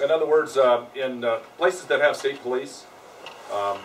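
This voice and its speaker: A man with an American accent and ordinary pitch variation, over noticeable background noise. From Colorado. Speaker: county sheriff. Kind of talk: talk and Q&A at a public meeting.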